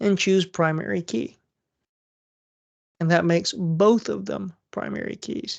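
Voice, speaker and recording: A woman speaks over a quiet background. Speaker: college instructor. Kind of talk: lecture.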